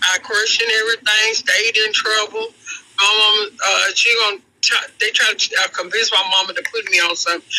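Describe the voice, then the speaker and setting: Raising and projecting his voice, a man speaks fairly quickly at a high pitch in a monotone, flat intonation with very even loudness, amid noticeable background noise. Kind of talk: casual chat. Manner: halting.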